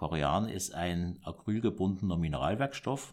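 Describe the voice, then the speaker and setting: A man speaks very slowly in a very deep, low voice with ordinary pitch variation. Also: very clean recording, silent background. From southern Germany, Baden tri-border area. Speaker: monk and entrepreneur. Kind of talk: interview. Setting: monastery.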